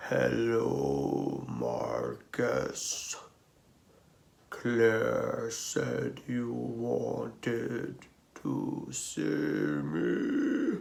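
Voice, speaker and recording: Putting on a gravelly character voice, a man speaks at a very slow pace in a very deep, low pitch. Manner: warm, calm greeting.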